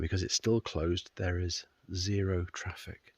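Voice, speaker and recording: A man speaks in a very deep, low voice, monotone, flat and somewhat breathy. The sound is dry and close with no echo, over a quiet background. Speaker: motorcycle vlogger. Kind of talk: casual vlog. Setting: outdoors.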